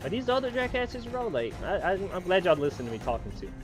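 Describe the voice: Over clear music in the background, a man talks at a fast pace. His pitch is high and swings widely.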